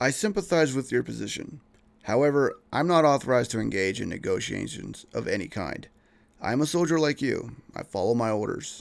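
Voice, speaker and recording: A man puts on a raspy character voice at medium pitch, with very wide pitch swings. He talks at a fairly quick pace on a very clean recording with a silent background. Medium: read story. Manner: polite, steady under pressure.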